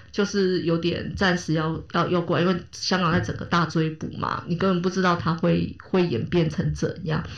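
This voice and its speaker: At a moderate pace with hardly any pauses, the voice stays monotone and flat, carries vocal fry, and has audible room echo around it. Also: woman, fairly low pitch for a woman. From Taiwan, Kaohsiung. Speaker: podcast host. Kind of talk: casual chat.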